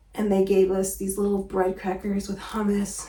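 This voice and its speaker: A soft-spoken woman talks at a moderate pace in a medium-pitched voice, with audible room echo. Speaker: travel vlogger. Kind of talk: casual vlog talk to camera.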